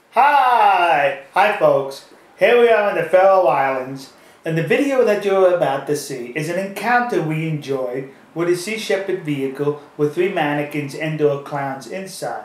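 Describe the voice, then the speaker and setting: With audible room echo and noticeable background noise, a high-pitched man with an American accent speaks with lively intonation. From USA. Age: 60s. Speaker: activist vlogger. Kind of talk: casual chat. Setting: outdoors. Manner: animated.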